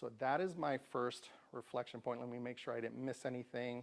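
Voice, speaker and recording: A plain, everyday voice from a man, medium-pitched, with an American accent, at a fairly quick pace. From Tucson, Arizona. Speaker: community speaker and storyteller. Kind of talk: talk to a live audience. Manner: conversational.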